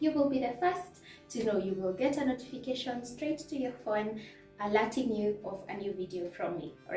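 Over faint background music, a woman talks at a moderate pace in a room with audible echo. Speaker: lifestyle vlogger. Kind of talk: casual vlog chat. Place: home room.

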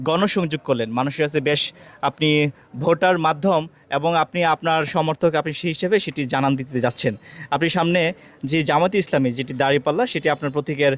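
With a plain, everyday voice, a man at a fairly high pitch uses ordinary pitch variation, recorded with a dry, close sound and no echo. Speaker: local news reporter. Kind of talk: interview questions.

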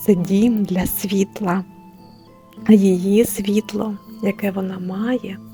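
With music in the background, a soft-spoken woman talks at a medium pitch in a monotone, flat intonation at a very slow pace. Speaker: storyteller. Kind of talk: bedtime story for adults. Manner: soft, calming.

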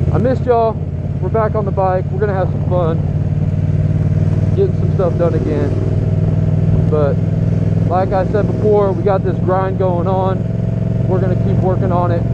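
Loud background noise fills a dry recording with no echo, where the speech has long, frequent pauses. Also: moderate pace. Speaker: motorbike vlogger. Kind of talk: casual vlog chat. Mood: upbeat, excited. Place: motorbike. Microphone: helmet.

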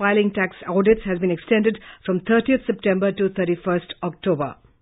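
With an Indian accent, a woman talks at a moderate pace and medium pitch with ordinary pitch variation over a quiet background. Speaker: news presenter. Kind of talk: news reading. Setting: studio. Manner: formal. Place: studio.

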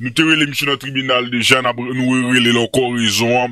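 A man speaks at a medium pitch with a bright, sharp tone. The sound is dry and close, with no echo. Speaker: YouTube commentary host. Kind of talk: monologue commentary video.

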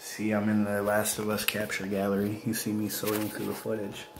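Over noticeable background noise, a man with an American accent speaks at a moderate pace in a relaxed tone. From upstate Western New York. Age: 30s. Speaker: gaming YouTuber. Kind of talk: casual vlog to viewers. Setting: at home, speaking softly with family asleep nearby. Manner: low-energy, relaxed; many filler words. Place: home room. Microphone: phone near.

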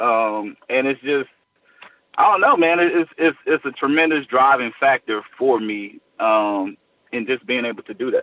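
A man talks at a fairly slow pace in a medium pitch, with ordinary pitch variation. It is an unremarkable speaking voice. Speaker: gospel singer. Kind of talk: interview.

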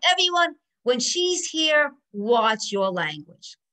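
Using a put-on character voice, a woman talks at a fairly slow pace, her high pitch moving in very wide swings. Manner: loudly announcing.

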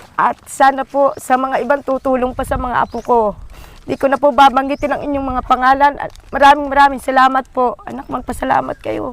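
Fairly quick and high-pitched, the woman speaks in monotone, flat intonation, with a dry sound and no echo. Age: old. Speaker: grandmother and guardian. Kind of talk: interview. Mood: grateful, emotional. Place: farm.

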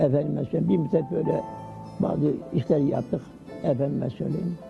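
Music plays in the background as a man talks with lively intonation at a moderate pace. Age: 80s+. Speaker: retired factory worker and avid reader. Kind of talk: interview answer.

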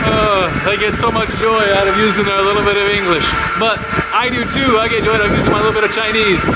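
Loud background noise runs behind a man talking at a very fast pace. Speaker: travel vlogger. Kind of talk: casual vlog chat. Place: tunnel cave. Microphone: phone near.

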